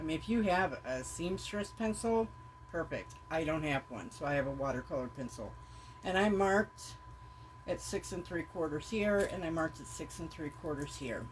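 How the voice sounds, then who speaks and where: A woman's moderately paced speech comes with noticeable background noise. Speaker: crafter, junk journal maker. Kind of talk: tutorial. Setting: filming self on camera. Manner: casual, hesitant with fillers.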